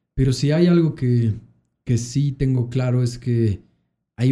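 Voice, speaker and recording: A man's somewhat breathy voice with a dark, mellow tone, fairly even intonation and a moderate pace. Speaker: podcast host. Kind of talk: casual chat.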